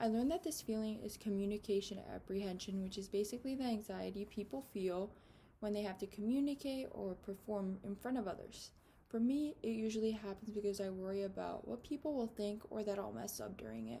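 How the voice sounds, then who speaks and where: With a dark, mellow tone, a woman speaks somewhat breathily at a fairly quick pace, her medium pitch showing ordinary variation. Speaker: student. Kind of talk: class speech. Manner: nervous, shaky voice when presenting.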